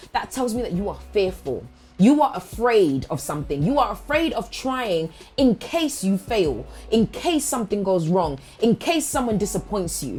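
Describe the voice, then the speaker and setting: Loud and animated, a woman talks at medium pitch and a moderate pace. Her pitch swings very widely. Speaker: motivational speaker. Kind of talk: motivational monologue. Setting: studio.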